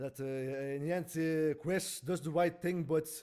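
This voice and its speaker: Mumbling in a flat monotone, a man speaks with a dark, mellow tone at a fairly high pitch. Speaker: video reviewer. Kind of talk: casual review monologue. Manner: halting, many fillers and stutters.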